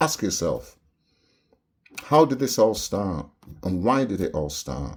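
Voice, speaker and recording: A man speaks at a fairly slow pace with vocal fry. His pitch swings very widely. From Barbados, moved to London at age seven. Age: 70s. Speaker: video blogger. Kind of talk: monologue rant to camera. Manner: animated.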